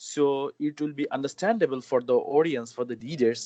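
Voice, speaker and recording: At a moderate pace, a man speaks with a Bangladeshi accent. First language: Bengali. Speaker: journalist and mobile journalism trainer. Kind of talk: interview. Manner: hesitant, many fillers.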